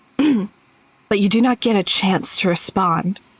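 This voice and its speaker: A put-on character voice sounds female, pitched medium for a woman. It moves at a fairly slow pace. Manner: spooky, eerie.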